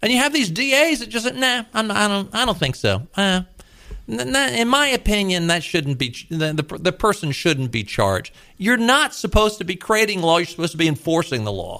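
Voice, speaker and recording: Projecting loudly, a man speaks at a moderate pace, his high pitch making very wide swings. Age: 60s. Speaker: talk radio host. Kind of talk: political talk radio. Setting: radio studio. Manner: animated.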